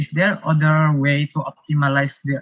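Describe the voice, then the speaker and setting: A man with an Indonesian accent at a fairly high pitch, monotone and flat, at a moderate pace in a dry, close sound with no echo. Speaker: engineering student, audience questioner. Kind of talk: audience question in webinar. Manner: hesitant, many fillers.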